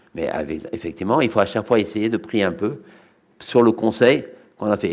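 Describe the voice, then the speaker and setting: The man keeps a fairly quick pace and a medium pitch. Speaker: rabbi giving Torah lecture. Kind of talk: religious lecture. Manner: fast; halting, repeats words.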